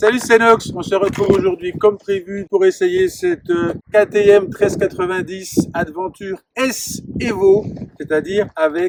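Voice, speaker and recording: A loud, high-pitched man's voice with ordinary pitch variation at a fairly slow pace. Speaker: motorcycle reviewer. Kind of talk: product review. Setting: outdoors.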